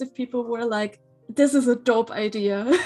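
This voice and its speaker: A woman's fairly high voice with a German accent and fairly even intonation, music in the background. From western Germany. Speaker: graphic designer. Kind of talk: casual chat. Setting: live stream.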